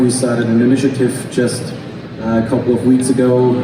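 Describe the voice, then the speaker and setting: Speaking at a moderate pace, a man with a German accent has a medium pitch. Music plays in the background, and the room echo is audible. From Germany. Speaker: aircraft recycling company director. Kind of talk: panel discussion.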